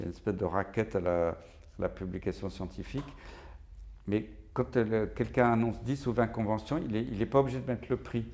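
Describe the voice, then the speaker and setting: Speaking at a fairly quick pace, a man with a fairly low pitch and vocal fry uses ordinary pitch variation and leaves long, frequent pauses. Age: 60s. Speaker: physician and professor of infectious diseases. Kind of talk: interview. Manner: animated.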